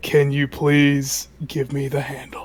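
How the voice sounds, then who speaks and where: The speaker uses a put-on character voice at a low-to-middle pitch. Delivery is fairly slow, with monotone, flat intonation. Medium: actual play.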